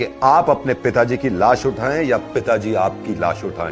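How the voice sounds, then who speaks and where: A man is speaking at a medium pitch. Behind him, music plays in the background. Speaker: radio jockey. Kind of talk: earnest public-service style address to camera about lockdown. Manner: earnest, persuasive, emphatic.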